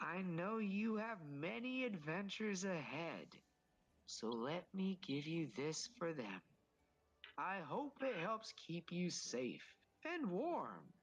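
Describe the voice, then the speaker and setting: Someone uses a put-on character voice at a middle pitch, going at a fairly slow pace. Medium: actual play. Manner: hearty, jovial, warm.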